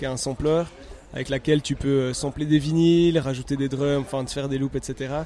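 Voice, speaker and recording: Intonation stays fairly level. A man talks in a fairly high voice. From Switzerland, Neuchâtel. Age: 30s. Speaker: electronic music producer. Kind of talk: casual interview. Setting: music festival. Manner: halting.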